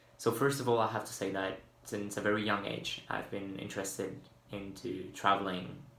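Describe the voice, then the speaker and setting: With audible room echo, a man talks at a moderate speed in a fairly low voice. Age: 20s. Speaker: university student. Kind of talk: video application statement. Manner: hesitant, with fillers.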